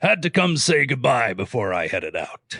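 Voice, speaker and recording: A man puts on a raspy character voice, pitched fairly high. He speaks at a moderate pace. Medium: audio drama. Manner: chuckling, jovial.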